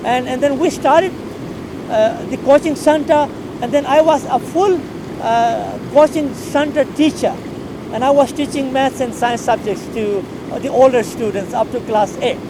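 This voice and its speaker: The speech goes at a moderate pace, with noticeable background noise behind it. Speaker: school teacher. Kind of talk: personal life story, unscripted. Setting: filmed on camera in a hot room. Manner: halting, many fillers and repetitions.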